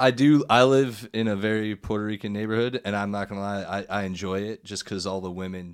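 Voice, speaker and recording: A man speaks at a fairly quick pace in an ordinary speaking voice, fairly low in pitch. His intonation is fairly even, and the recording is very clean with a silent background. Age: 30s. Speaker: comedian. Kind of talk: casual chat.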